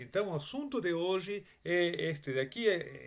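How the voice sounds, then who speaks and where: With a strong Spanish accent, a man with a fairly high-pitched voice speaks very slowly and with lively intonation. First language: Spanish (speaking Portuguese). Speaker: Bible teacher. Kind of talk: Bible study lecture. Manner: halting, with many fillers and restarts.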